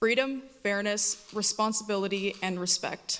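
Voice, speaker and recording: A woman speaks in a normal speaking voice with a Canadian accent. Her pitch sits in the middle range and moves in an ordinary way. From Toronto, Canada. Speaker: political candidate. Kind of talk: debate opening statement.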